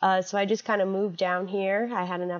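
Here a woman talks at a moderate pace and medium pitch in an ordinary speaking voice. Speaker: health educator. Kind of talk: interview.

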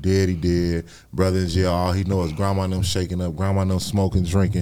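At a fairly quick pace, a man speaks with a very deep, low pitch and a dark, mellow tone. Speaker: content creator and youth advocate. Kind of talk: casual interview.

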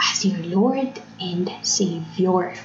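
A woman speaks with ordinary pitch variation, with noticeable background noise and audible room echo. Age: 20s. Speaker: faith podcaster. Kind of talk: personal reflection monologue. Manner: code-switching Taglish.

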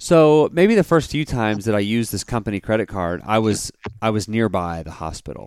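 A man with a plain, everyday voice, fairly low in pitch and fairly quick in pace, in a dry, close sound with no echo. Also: lively intonation. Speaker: podcast host. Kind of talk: casual chat. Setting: video call.

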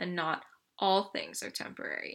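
A woman's bright, sharp voice with vocal fry and a Canadian accent, on a very clean recording with a silent background. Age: 20s. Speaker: podcast host. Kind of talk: personal monologue.

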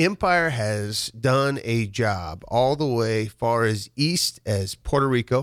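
A man with a Midwestern US accent and medium pitch talks at a very slow pace with hardly any pauses, lively intonation and very even loudness. The recording is very clean, with a silent background. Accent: US Midwest. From Nebraska, rural farm near Waverly. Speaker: construction company owner. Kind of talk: casual interview. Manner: repetitive, halting.

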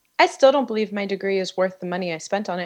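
A plain, everyday voice with ordinary pitch variation over a quiet background. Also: woman. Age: 30s. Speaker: author. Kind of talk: casual chat. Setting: studio.

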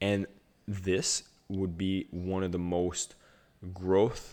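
A man with a very deep, low voice speaks at a fairly slow pace against a quiet background. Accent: French Canadian. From Ottawa area, Canada. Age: 30s. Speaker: podcast host and speaker. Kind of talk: casual interview chat. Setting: video call.

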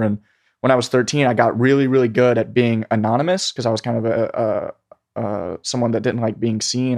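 With an unremarkable speaking voice, the speaker talks at a fairly quick pace with fairly even intonation, against a quiet background in a dry, close sound with no echo. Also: man. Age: 20s. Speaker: meme creator and marketer. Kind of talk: casual interview chat.

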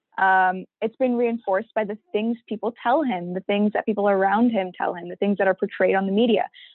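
A woman's unremarkable speaking voice in a Canadian accent, medium in pitch, at a fairly quick pace with fairly even intonation and hardly any pauses. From Vaughan, Ontario, Canada (Pakistani-Canadian community). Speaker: youth research team member. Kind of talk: casual discussion.

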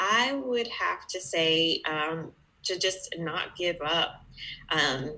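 A bright, sharp tone carries an American accent with ordinary pitch variation. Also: woman. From US, Georgia. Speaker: bookkeeper, business owner. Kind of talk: podcast interview.

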